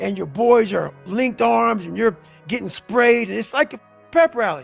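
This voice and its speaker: An intense-toned man with music in the background. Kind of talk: motivational speech. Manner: intense, forceful.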